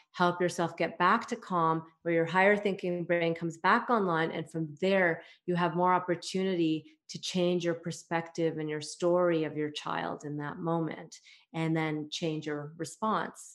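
A woman with a normal speaking voice talks in a Canadian accent at a fairly low pitch. Her pace is fairly slow and her intonation fairly even, over a quiet background. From Canada, Toronto. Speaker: parenting coach. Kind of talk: interview.

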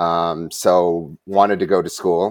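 Monotone and flat, a man's voice stays at a very deep, low pitch. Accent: American. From Wisconsin. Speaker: fly fishing guide. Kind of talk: interview.

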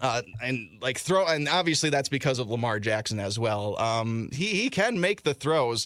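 A man with an unremarkable speaking voice, medium pitch, lively intonation, a moderate pace and hardly any pauses. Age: 20s. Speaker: sports podcast host and radio producer. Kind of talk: casual sports chat.

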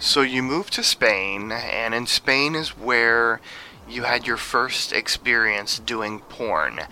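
Against noticeable background noise, a man speaks very slowly in a medium pitch with ordinary pitch variation. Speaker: podcast interviewer. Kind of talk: interview. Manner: enthusiastic.

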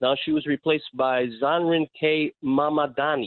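A man with an American accent has a plain, everyday voice. His pitch is fairly high and his intonation fairly even. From New York City (Astoria, Queens). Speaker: radio call-in listener. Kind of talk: call-in conversation.

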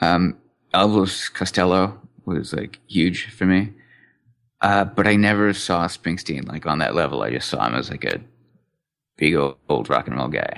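Speaking with a very deep, low pitch and vocal fry, a man moves at a fairly slow pace. His intonation is lively, broken by long, frequent pauses. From England. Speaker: music enthusiast podcast guest. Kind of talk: casual chat.

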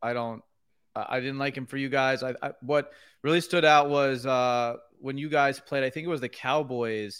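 A man with an American accent speaks at a moderate pace in an ordinary speaking voice, medium-pitched, with fairly even intonation, on a very clean recording with a silent background. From New York. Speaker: sports card business owner. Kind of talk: casual chat.

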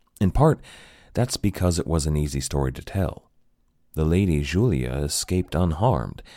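A man speaks at a moderate pace with lively intonation and a very deep, low pitch. His tone is dark and mellow, on a very clean recording with a silent background. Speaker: history podcast host. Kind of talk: dramatic narration of history, storytelling with gravitas. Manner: measured, earnest, expressive storyteller.

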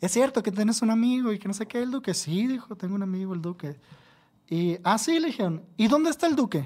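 A man talks at a very fast pace with a Mexican accent, using a high pitch and lively intonation. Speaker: tattoo artist. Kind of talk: casual chat.

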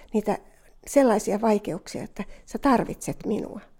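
A woman speaks at a fairly slow pace with vocal fry, her medium-pitched voice dark and mellow in tone. The recording is very clean, with a silent background. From Finland, Southern Ostrobothnia (Jurva). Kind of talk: testimony.

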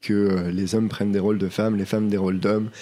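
A man talks at a moderate pace in a fairly low pitch, with a dark, mellow tone and monotone, flat intonation. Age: 20s. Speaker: non-binary theatre performer. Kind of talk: interview. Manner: hesitant, many fillers.

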